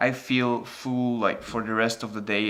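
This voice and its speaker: Amid noticeable background noise, a man speaks at a moderate pace and medium pitch. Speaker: fitness vlogger. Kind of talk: casual vlog. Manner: halting, many fillers and repeats.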